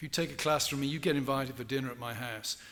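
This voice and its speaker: There is audible room echo around a man with an English accent, a fairly high pitch and a bright, sharp tone. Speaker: professor. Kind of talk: lecture Q&A.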